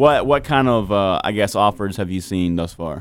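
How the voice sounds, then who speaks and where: Here is a man with a normal speaking voice. His intonation is lively and his pace moderate. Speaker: radio host. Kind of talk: casual radio interview. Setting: radio studio. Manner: filler-heavy, casual.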